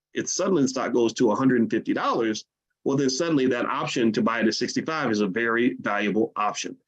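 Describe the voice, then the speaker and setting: A man with an American accent, medium-pitched, very fast, with ordinary pitch variation. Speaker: finance educator. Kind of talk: livestream lecture. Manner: fast when excited; halting repetitions.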